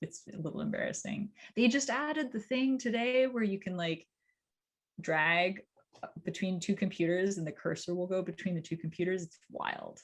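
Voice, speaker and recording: A woman's unremarkable speaking voice with a Canadian accent, medium pitch and lively intonation. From Canada. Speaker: cybersecurity company CEO. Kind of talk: interview, casual chat.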